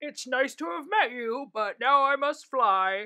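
A woman puts on a character voice, high-pitched with a bright, sharp tone, lively intonation and a fairly slow pace.

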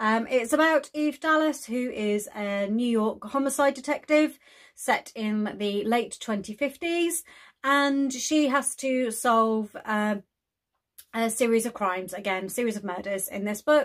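The background is silent as a woman talks fairly slowly. Her pitch varies in an ordinary way. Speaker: book vlogger. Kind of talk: casual vlog chat. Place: home room.

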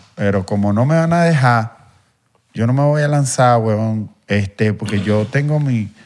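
A man with a Venezuelan accent, fairly slow in pace, with ordinary pitch variation. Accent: Venezuelan street accent from Guatire. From Venezuela, Guatire. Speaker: content creator. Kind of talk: casual chat. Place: studio. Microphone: handheld.

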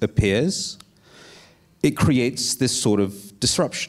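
Against a quiet background, a man's speech moves at a fairly slow pace, with ordinary pitch variation. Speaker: writer and disinformation researcher; guest. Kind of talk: panel discussion. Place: stage. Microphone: handheld.

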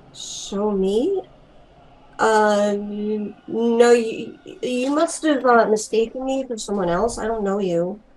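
Her pitch shows ordinary variation. This woman talks at a very slow pace. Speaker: actor in online play. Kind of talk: dramatic acted dialogue. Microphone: video call.

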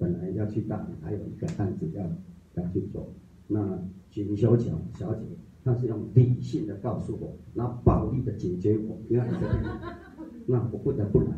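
A man, fairly slow with long, frequent pauses and ordinary pitch variation, amid audible room echo and light background noise. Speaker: study group reader. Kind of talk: reading aloud. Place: meeting room. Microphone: camera far.

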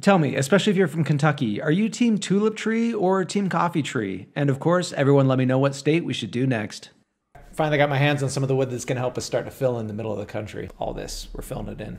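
Talking at a very fast pace with an American accent, a man with a fairly high, somewhat breathy voice makes very wide pitch swings. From Utah. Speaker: woodworker and content creator. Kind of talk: scripted narration.

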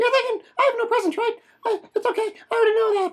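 A squeaky put-on character voice races along at a very fast pace with an extremely high pitch. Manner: twitchy.

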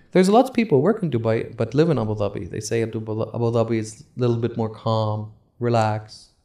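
A man's dark, mellow tone at a very fast pace, with ordinary pitch variation, on a very clean recording with a silent background. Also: medium pitch for a man, hardly any pauses. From Saudi Arabia, Eastern Province. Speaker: podcast host. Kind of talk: casual chat.

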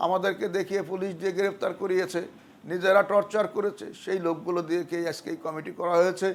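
The recording is very clean, with a silent background. A man speaks in a high pitch with monotone, flat intonation. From Faridpur, Bangladesh. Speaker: local party youth leader. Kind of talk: public appeal.

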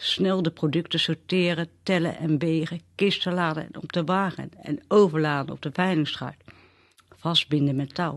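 A woman speaks in an unremarkable speaking voice, fairly low in pitch, at a fairly slow pace. Her pitch varies in an ordinary way against a quiet background. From Netherlands, Westland near The Hague. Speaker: storyteller sharing memories. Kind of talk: personal memoir reading.

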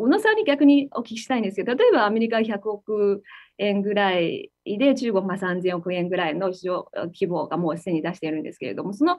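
A woman with a Chinese accent talks at a fairly quick pace with hardly any pauses. Her intonation is lively, and the background is quiet. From China. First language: Chinese (speaking Japanese). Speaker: tech company executive; guest. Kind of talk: interview. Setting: video call. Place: office. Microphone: video call.

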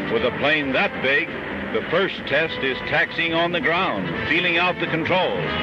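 At a fairly slow pace, the speech comes through with a dry sound with no echo and noticeable background noise. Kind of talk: newsreel narration. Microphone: old recording.

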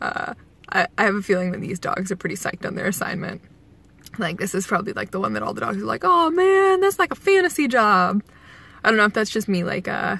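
A woman talks at a very fast pace in a dry sound with no echo. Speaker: commuter vlogger. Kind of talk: casual vlog chat. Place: car. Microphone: phone near.

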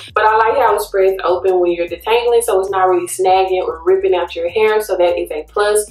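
A woman at a fairly quick pace, with audible room echo and faint background music. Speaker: hair care vlogger. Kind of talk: casual vlog chat, tutorial. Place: bathroom. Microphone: phone near.

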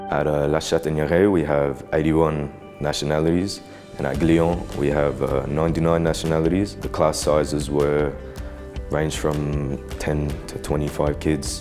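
A man with a very deep, low voice speaks at a moderate pace over clear background music. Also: fairly even intonation. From Australia. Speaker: university student. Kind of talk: student testimonial. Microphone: lapel.

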